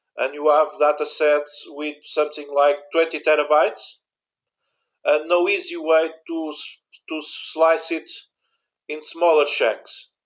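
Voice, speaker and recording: In a Portuguese accent, the speaker goes at a very slow pace with long, frequent pauses and monotone, flat intonation, on a very clean recording with a silent background. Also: man, fairly high pitch for a man. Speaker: university IT infrastructure manager. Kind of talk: interview about backup software. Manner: halting, searching for English words.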